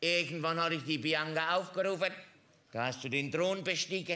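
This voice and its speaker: A man speaks in a raised, projected voice. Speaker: comedian in a construction-worker costume. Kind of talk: stand-up comedy monologue. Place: stage.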